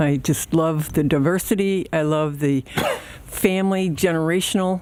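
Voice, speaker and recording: There is noticeable background noise as a woman speaks at a moderate pace with an American accent. Her pitch is fairly low and her loudness very even. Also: ordinary pitch variation. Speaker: public commenter. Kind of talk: public comment at board meeting. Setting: village board meeting at podium.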